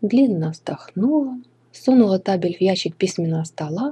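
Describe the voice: Lively intonation in a plain read-aloud delivery.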